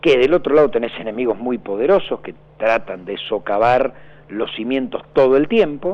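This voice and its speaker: This man has an unremarkable speaking voice at medium pitch. His intonation is lively and his pace moderate. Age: 50s. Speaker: political candidate. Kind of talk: radio interview.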